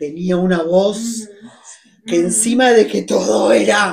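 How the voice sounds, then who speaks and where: A woman with a plain, everyday voice speaks at a medium pitch and a fairly slow pace, using lively intonation. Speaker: writer. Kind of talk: conversation at literary event. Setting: library event with audience.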